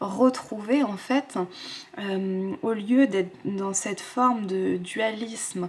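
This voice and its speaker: A woman's mid-pitched voice unfolds very slowly. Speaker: tarot card reader. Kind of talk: tarot guidance reading to camera. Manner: soft, whispered.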